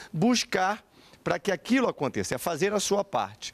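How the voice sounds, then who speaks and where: A man is speaking. His pace is moderate. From Brazil. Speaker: pastor. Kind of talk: TV panel debate. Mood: calm, reflective. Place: studio. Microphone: handheld.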